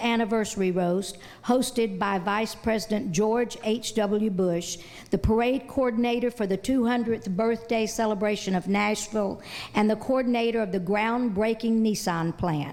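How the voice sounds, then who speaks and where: Fairly high pitch from a woman, the intonation fairly even. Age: 60s. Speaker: awards presenter. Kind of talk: award presentation speech. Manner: halting.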